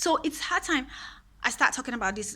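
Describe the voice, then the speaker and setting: With a Nigerian accent, a woman speaks in a bright, sharp tone with lively intonation. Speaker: queer rights vlogger. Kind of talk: personal monologue. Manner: animated.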